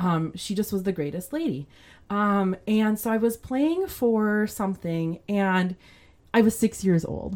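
In a very clean recording with a silent background, a woman with an American accent and an unremarkable speaking voice talks at a fairly slow pace, her medium-pitched delivery full of lively intonation. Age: 40s. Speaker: church musician and singer. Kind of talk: casual interview chat.

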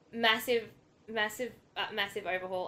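A woman with an Australian accent talks at a fairly quick pace, her bright, sharp voice showing ordinary pitch variation. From Australia, New South Wales. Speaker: tennis forum moderator and fan. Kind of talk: casual podcast chat.

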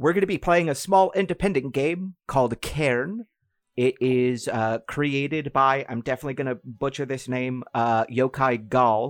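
A man with a plain, everyday voice talks at a moderate pace and medium pitch with ordinary pitch variation. The sound is dry and close, with no echo. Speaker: game master. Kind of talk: tabletop roleplaying game session, narrating and chatting.

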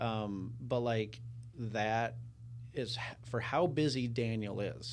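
A man speaks at a medium pitch. His intonation is fairly even, and audible room echo can be heard. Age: 30s. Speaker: podcast host, real estate team leader. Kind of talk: casual interview chat.

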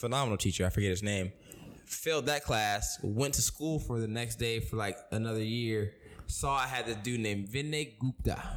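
At medium pitch and a moderate pace, this man talks in a plain, everyday voice with ordinary pitch variation. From Florida (Tampa). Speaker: podcast co-host. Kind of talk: casual chat. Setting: home.

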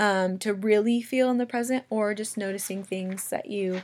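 A woman with an ordinary speaking voice talks at a moderate pace. Her pitch is fairly high and her intonation fairly even. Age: 20s. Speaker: podcast host and mother. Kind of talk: casual solo monologue. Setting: recording lying in bed at home. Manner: chatty, many fillers like um and like.

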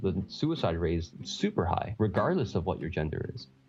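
A man with a Canadian accent and a very deep, low pitch speaks at a moderate pace in a somewhat breathy voice. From Canada, Toronto. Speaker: podcast co-host, physician in pharmaceuticals. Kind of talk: casual interview chat.

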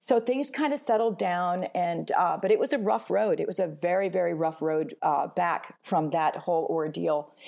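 Her fairly low voice carries vocal fry and very wide pitch swings as the woman speaks at a moderate pace with hardly any pauses. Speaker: business owner. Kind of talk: interview testimony. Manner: energetic.

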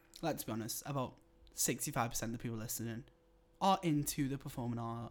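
Moderate-paced speech with a Liverpool accent. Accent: Scouse (Liverpool). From northern England, Liverpool. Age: 20s. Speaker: podcast co-host, university student. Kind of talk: casual chat. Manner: animated.

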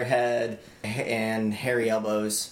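Over noticeable background noise, a man speaks at medium pitch with fairly even intonation. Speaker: podcast host. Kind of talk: comedic banter.

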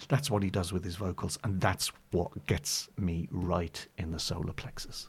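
Somewhat breathy, a man speaks fairly slowly in a very deep, low pitch with ordinary pitch variation, in a very clean recording with a silent background. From northeast England then Suffolk. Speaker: jazz pianist and author. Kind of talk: casual interview chat.

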